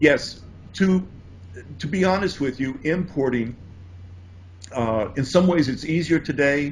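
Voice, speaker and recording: A man with an American accent speaks fairly slowly at a fairly high pitch, somewhat breathy, with lively intonation and long, frequent pauses. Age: 60s. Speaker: importing course author. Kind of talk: interview.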